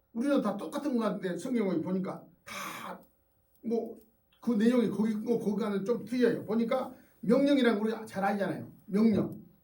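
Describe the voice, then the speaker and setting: Audible room echo carries a man's high-pitched voice. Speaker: pastor. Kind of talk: sermon. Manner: conversational, with fillers.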